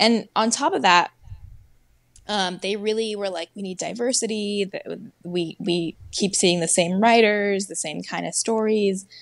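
A woman speaks at a fairly slow pace with long, frequent pauses, ordinary pitch variation and big swings in loudness. The sound is dry with no echo, and the background is quiet. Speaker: screenwriter. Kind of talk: casual interview. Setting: video call. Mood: relaxed, reflective. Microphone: earbuds.

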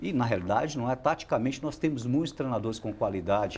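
Pitch moves in an ordinary way. The speaker is a man. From Minas Gerais, Brazil. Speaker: football coach. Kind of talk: interview. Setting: studio. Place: studio. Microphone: lapel.

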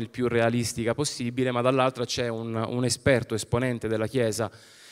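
The background is quiet while a man talks at a fairly quick pace. His voice sits at a medium pitch, with monotone, flat intonation. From Calabria, Arbëreshë community (Spezzano Albanese); Calabria, Italy. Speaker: film director; public presenter. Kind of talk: event presentation talk. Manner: hesitant, many fillers. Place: stage. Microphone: handheld.

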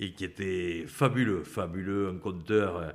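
A man talks with a very deep, low pitch. The background is quiet. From French Pyrenees; France. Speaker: retired rugby player; podcast guest. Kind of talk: interview. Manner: halting. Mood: nostalgic storytelling. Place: home room. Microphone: studio mic.

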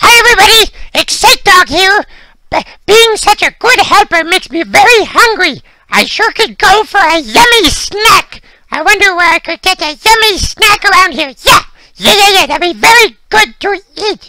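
An extremely high, squeaky cartoonish character voice talks at a moderate pace. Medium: puppet. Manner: excitable, frantic.

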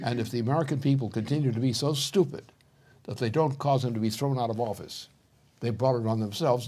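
Speaking at a very fast pace, a man with a dark, mellow tone sounds somewhat breathy and shows ordinary pitch variation. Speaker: political commentator. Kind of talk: interview answer. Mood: stern, forceful condemnation. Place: studio.

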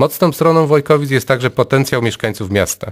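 Over a quiet background, a man speaks at a very fast pace. His pitch varies in an ordinary way. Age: 30s. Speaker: local election candidate. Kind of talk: campaign speech. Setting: studio. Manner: formal. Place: studio.

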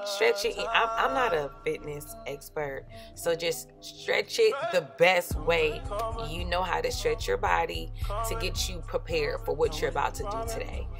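Clear music plays in the background while the speech moves at a fairly slow pace. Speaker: fitness vlogger. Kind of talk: casual vlog chat. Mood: playful, upbeat. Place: gym.

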